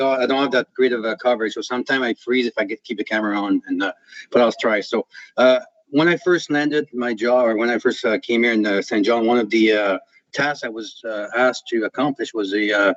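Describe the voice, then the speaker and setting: Talking at a very fast pace with a non-native accent, a man uses a medium pitch and ordinary pitch variation. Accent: foreign. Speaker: police chief. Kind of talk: council meeting presentation. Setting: video call. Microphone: poor connection, may freeze.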